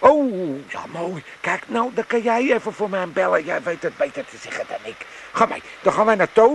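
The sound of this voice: In a put-on character voice, a man speaks at a moderate pace with a high pitch, lively intonation, a fairly bright tone and vocal fry.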